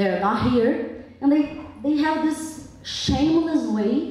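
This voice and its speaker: In a Brazilian accent, the voice moves very slowly with lively intonation, with audible room echo and noticeable background noise. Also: woman. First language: Portuguese. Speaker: public commenter at town hearing. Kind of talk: public comment at hearing. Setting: public hall with audience. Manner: impassioned.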